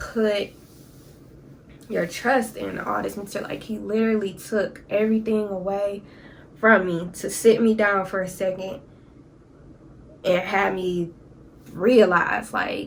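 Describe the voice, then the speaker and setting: In a room with audible echo, a woman talks at a fairly slow pace in a monotone, flat intonation with long, frequent pauses. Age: 20s. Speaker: YouTuber. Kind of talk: story time vlog. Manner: casual, conversational.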